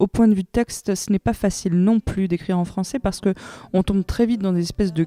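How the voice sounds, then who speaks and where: The tone is dark and mellow, the intonation fairly even, and the sound dry and close with no echo. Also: woman. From Iran. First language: Persian (speaking French). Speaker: singer-songwriter. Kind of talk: interview. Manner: hesitant, many fillers.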